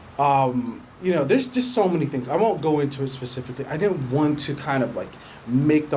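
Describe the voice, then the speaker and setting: Noticeable background noise sits behind a man with a fairly high pitch. He talks at a fairly quick pace with lively intonation. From England. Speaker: podcaster. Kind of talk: casual monologue. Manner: hesitant with repetitions and fillers.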